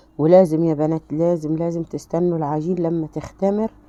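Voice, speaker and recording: A woman speaks at a moderate pace in a fairly low pitch. Noticeable background noise runs under her voice. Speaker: home cooking channel host. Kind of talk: cooking tutorial. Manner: animated.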